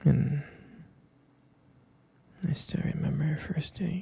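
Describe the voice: A man talks slowly with vocal fry and a husky, rough edge. His tone is dark and mellow, with ordinary pitch variation. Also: fairly high pitch for a man.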